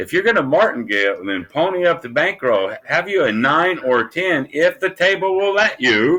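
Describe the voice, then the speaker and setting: A man's high-pitched voice, bright and sharp in tone, moves at a moderate pace through very wide pitch swings. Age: 60s. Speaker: gambling content creator. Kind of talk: casual interview. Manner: animated.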